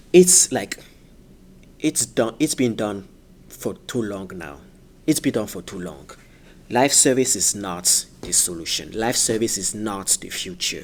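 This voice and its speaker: Pausing long and often, a man talks at a fairly slow pace with a fairly low pitch, very wide pitch swings and big swings in loudness. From France. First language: French. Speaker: gaming YouTuber. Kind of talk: casual video commentary. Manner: halting, many fillers.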